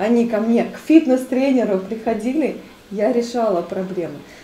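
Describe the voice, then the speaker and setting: A woman speaks at a fairly slow pace with ordinary pitch variation. Light background noise and audible room echo are present. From Siberia, Kemerovo region; Siberia. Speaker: fitness trainer and body therapist; fitness trainer. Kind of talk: casual chat. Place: home room. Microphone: camera far.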